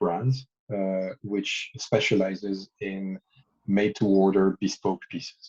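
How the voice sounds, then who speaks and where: In a French accent, a man speaks fairly slowly with a fairly low pitch. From France. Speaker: watch brand founder and designer. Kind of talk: interview. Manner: hesitant, many fillers.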